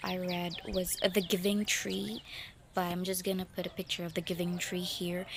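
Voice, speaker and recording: A woman's medium-pitched voice at a moderate pace. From Philippines. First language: Filipino. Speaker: book vlogger. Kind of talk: casual book review vlog. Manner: halting, many fillers and restarts.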